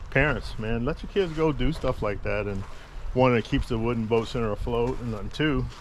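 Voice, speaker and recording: Audible room echo surrounds a man's voice. He uses ordinary pitch variation. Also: moderate pace. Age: old. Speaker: vlogger, veteran. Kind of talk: travel vlog walkthrough. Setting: outdoors at a beach park. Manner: loud, carrying.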